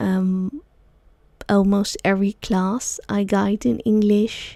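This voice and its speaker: Speaking very slowly with a Dutch accent, a woman's medium-pitched, dark and mellow voice shows ordinary pitch variation on a very clean recording with a silent background. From Netherlands, Amsterdam. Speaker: sound healer and yoga teacher, podcast host. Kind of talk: solo podcast talk. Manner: halting, many fillers.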